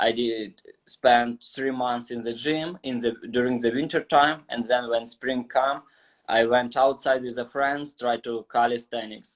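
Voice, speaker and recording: Speaking in a Ukrainian accent, a man uses a medium pitch and a monotone, flat intonation at a fairly slow pace. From Ukraine. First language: Ukrainian or Russian. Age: 20s. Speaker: calisthenics athlete. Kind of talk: casual interview. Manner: halting, non-fluent.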